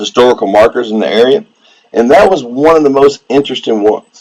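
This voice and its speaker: This voice has a relaxed tone and lively intonation, in a Southeast Texas accent. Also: man. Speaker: coin collector and metal detectorist streamer. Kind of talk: casual live-stream chat. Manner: relaxed, casual.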